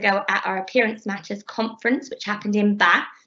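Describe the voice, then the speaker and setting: With a Bristolian accent, a woman speaks at a fairly quick pace. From England, Bristol. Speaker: PhD researcher. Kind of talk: lecture.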